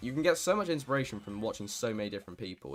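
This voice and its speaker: Music plays in the background behind a voice with lively intonation. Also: man. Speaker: gaming streamer. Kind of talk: casual livestream chat. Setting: livestream. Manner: halting.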